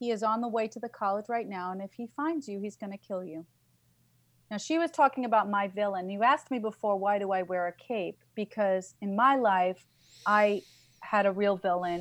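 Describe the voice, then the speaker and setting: In a normal speaking voice, a woman with an American accent talks at a moderate pace and medium pitch, with ordinary pitch variation and big swings in loudness. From New York. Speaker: author and business coach. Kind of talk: casual interview chat.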